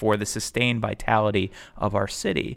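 A man talks at a fairly low pitch and a moderate pace, with vocal fry in his voice. The recording is very clean, with a silent background. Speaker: lawyer and community organizer. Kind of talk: casual chat. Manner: animated.

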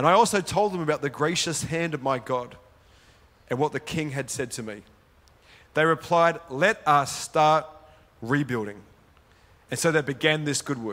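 Bright, sharp man's voice with an Australian accent, fairly high pitch, ordinary pitch variation, and long, frequent pauses. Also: moderate pace. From Sydney, Australia. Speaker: pastor. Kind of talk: sermon. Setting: church with live audience.

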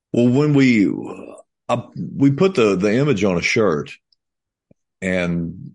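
The background stays quiet around a man's voice. He talks fairly slowly, his intonation lively. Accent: Kentucky. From Kentucky. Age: 50s. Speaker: country musician. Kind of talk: casual chat.

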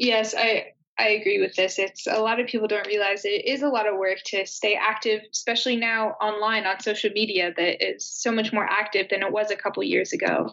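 This woman has an ordinary speaking voice with a fairly high pitch. She talks at a fairly quick pace with hardly any pauses and very even loudness. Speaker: university student. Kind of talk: interview. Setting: video call.

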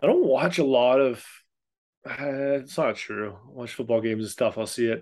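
With an ordinary speaking voice, this man keeps a medium pitch, ordinary pitch variation and a moderate pace. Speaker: podcast co-host. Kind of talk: casual podcast chat.

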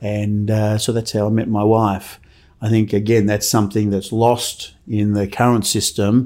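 The voice has a dark, mellow tone and monotone, flat intonation at a moderate pace. The recording is very clean, with a silent background. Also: man, fairly low pitch for a man. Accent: Australian. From Melbourne, Australia. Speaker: orthopedic surgeon. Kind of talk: interview.

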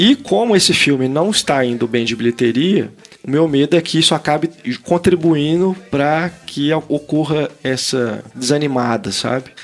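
Fairly high male pitch with ordinary pitch variation, at a moderate pace over noticeable background noise. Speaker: film critic podcast host. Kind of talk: casual chat. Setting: video call.

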